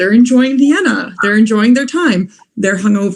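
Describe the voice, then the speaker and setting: Somewhat breathy, a woman speaks at a fairly quick pace. Her pitch is fairly high, with ordinary variation. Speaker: law graduate, moot court competitor. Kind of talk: online webinar talk. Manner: fast.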